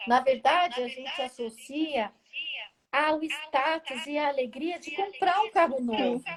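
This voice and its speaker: Lively intonation marks this woman's speech, which moves at a fairly slow pace. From Brazil. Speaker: automotive smell expert, retired engineer. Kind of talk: interview, explaining her work. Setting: Instagram live video call.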